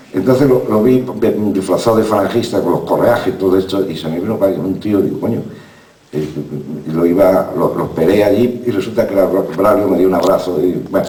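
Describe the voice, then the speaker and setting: A man's very deep, low voice with ordinary pitch variation, amid audible room echo and noticeable background noise. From southern Spain, Málaga. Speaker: novelist and former journalist. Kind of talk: talk at a literary festival. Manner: fast; halting, many repetitions.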